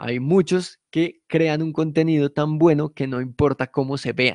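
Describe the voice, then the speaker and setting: In a dry, close recording with no echo and a quiet background, a man speaks at a fairly high pitch with fairly even intonation. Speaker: podcast producer teaching a workshop. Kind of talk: lecture. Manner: casual, conversational.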